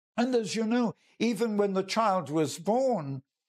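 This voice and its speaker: With an English accent and lively intonation, the voice comes through on a very clean recording with a silent background. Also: man. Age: 90s. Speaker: evangelist. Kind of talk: devotional talk. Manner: halting.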